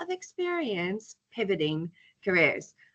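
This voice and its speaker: A woman speaks with an American accent. Her tone is bright and sharp, with very wide pitch swings. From California. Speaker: charity director and entrepreneur. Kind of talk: conference talk with slides.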